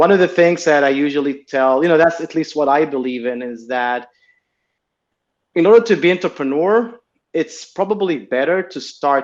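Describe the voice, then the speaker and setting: A man with an Israeli accent and lively intonation. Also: quiet background. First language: Hebrew. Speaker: tech entrepreneur. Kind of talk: interview.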